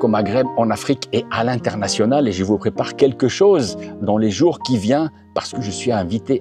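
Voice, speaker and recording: A man speaks with music in the background. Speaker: car reviewer YouTuber. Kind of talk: casual talk to camera.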